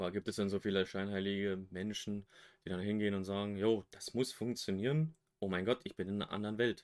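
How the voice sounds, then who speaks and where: A man with a fairly low pitch talks at a fairly quick pace in a fairly even intonation. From western Germany. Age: 20s. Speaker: podcast co-host. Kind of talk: casual chat. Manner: different from usual, careful voice.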